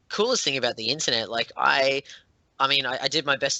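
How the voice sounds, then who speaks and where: In an Australian accent, a man is speaking. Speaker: board game designer. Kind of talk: interview. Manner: halting, many fillers and restarts.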